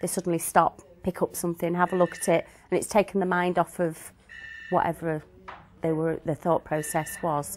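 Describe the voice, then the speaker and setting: A woman's fairly low, monotone, flat voice at a moderate pace, in a dry, close recording with no echo and noticeable background noise. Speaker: care home manager. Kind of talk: testimonial talk. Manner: halting, hesitant.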